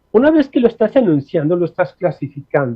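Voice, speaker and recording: A man's high-pitched voice at a moderate pace. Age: 60s. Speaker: linguist. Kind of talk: interview. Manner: halting, many fillers.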